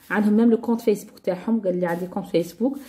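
A woman speaks in an unremarkable speaking voice, fairly high in pitch with ordinary pitch variation. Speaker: YouTube lifestyle vlogger. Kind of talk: casual product haul video.

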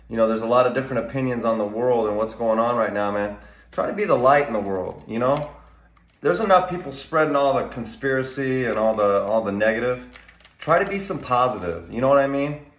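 Audible room echo around a man's fairly quick speech. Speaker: fitness vlogger. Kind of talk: casual vlog chat. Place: gym. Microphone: phone near.

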